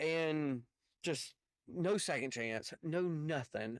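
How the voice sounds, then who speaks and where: With a strong Southern US accent, a man speaks at a fairly high pitch with lively intonation, in a dry, close sound with no echo on a very clean recording with a silent background. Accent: heavy Southern US. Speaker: truck driver and commentary YouTuber. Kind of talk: reaction commentary. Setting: in a semi truck. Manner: halting, stammering.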